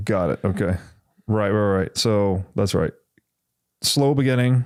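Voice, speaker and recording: This is a man with a normal speaking voice at a fairly low pitch. He keeps a fairly slow pace, ordinary pitch variation and very even loudness. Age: 30s. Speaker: podcast host. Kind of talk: casual chat.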